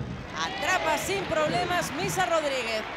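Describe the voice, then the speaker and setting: The voice has an animated, excited tone, with crowd noise in the background. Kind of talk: live sports commentary. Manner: fast, animated play-by-play delivery; excited, exclamatory.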